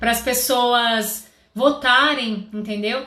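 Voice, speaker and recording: A woman speaks in a high pitch with audible room echo around her. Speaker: confectionery business coach. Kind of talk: live stream tutorial. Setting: live stream.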